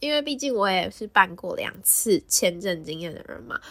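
This woman's voice has a bright, sharp tone and lively intonation. The recording is very clean, with a silent background. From Taiwan, Taipei. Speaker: podcast host. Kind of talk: casual solo podcast talk.

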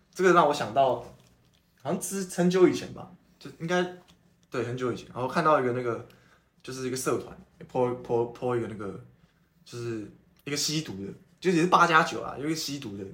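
With an animated tone and lively intonation, a man at a medium pitch talks at a fairly quick pace, his loudness swinging widely between long, frequent pauses, while audible room echo fills the recording. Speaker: podcast host. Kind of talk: casual chat.

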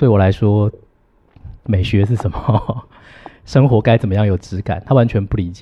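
With a Taiwanese accent, a man speaks at a moderate pace and a fairly low pitch with ordinary pitch variation. He leaves long, frequent pauses. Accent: Taiwanese Mandarin. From Taiwan, Hsinchu County. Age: 40s. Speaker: university teacher. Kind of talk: interview conversation.

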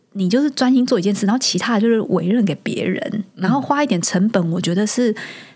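A woman with a normal speaking voice talks at a fairly high pitch and a fairly quick pace, her intonation lively. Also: very even loudness. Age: 40s. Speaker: startup marketing executive, working mother. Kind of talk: casual interview chat.

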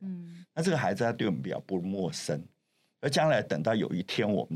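A man talks at a fairly quick pace in a fairly low register, and vocal fry runs through it. His pitch swings very widely. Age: 70s. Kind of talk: interview.

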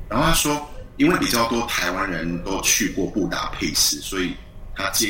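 A man talks at a moderate pace, with audible room echo and noticeable background noise around him. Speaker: university language lecturer. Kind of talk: interview. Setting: video call. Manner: hesitant, many fillers.

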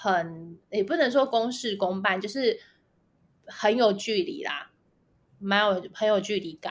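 On a very clean recording with a silent background, a woman with a fairly high pitch talks at a very slow pace with lively intonation. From Taiwan. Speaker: biotech company founder. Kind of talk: interview. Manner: halting, many fillers and repetitions.

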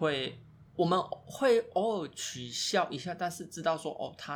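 A man's lively intonation with vocal fry. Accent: Taiwanese. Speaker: podcast co-host. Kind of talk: casual chat.

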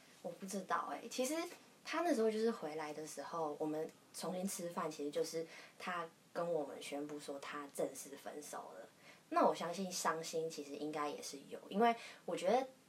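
Over noticeable background noise, a woman talks with a fairly low pitch. Her loudness swings widely while her pitch varies in an ordinary way. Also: moderate pace. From southern Taiwan. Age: young. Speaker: podcast guest. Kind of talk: casual chat.

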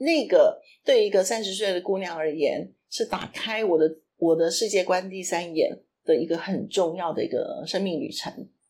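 Listeners hear a woman with an ordinary speaking voice at medium pitch. She talks at a moderate pace. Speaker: podcast co-host. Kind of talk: casual chat.

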